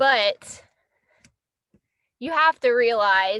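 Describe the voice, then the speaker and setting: A woman's raised, projected voice with a bright, sharp tone, ordinary pitch variation and a dry, close sound with no echo. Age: 20s. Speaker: livestreamer. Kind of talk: casual live stream chat. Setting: in a car. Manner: loud; animated.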